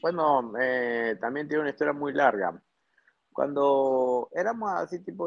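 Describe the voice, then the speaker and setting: A man's speech is very slow in pace and shows ordinary pitch variation. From northern Peru (Piura, Trujillo). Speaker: plastic surgeon. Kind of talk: casual interview.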